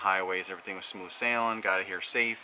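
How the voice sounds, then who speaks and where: A man with a normal speaking voice talks at a fairly quick pace with fairly even intonation, and light background noise is audible. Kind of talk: casual vlog chat. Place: street. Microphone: phone near.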